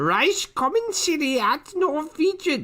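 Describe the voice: Someone uses a put-on character voice, pitched high and delivered at a very slow pace.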